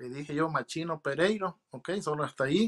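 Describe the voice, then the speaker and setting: This man has a bright, sharp tone and a fairly high pitch, with ordinary pitch variation. He talks at a fairly slow pace against a quiet background. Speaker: naturalized citizen sharing interview experience. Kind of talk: interview, casual testimony. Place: home room. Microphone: video call.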